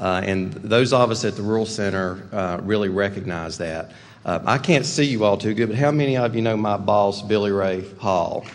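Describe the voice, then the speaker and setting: At a moderate pace, a man with a fairly low pitch speaks amid audible room echo. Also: ordinary pitch variation, hardly any pauses. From Western North Carolina. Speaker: rural development executive. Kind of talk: keynote speech.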